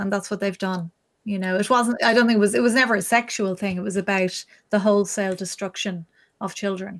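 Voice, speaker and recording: Talking very fast with an Irish accent, a woman keeps her intonation fairly even. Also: medium pitch for a woman. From Ireland. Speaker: journalist and live stream interviewer. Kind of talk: interview on her live stream. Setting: live stream with remote guest.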